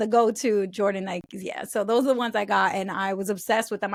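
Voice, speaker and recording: A woman with an American accent talks at a very fast pace, fairly high in pitch with fairly even intonation. The sound is dry and close with no echo, in a very clean recording with a silent background. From New York City. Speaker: personal finance educator and author. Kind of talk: podcast interview.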